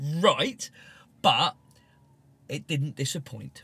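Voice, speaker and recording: Speaking very slowly, a man uses a British accent. His tone is bright and sharp. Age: 40s. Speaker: BMX racer and team support staff. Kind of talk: casual chat. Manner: animated.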